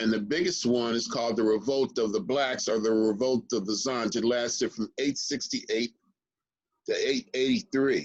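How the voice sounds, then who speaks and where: A man's unremarkable speaking voice at a medium pitch, with ordinary pitch variation, very even loudness and a moderate pace. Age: 60s. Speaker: historian. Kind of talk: interview conversation.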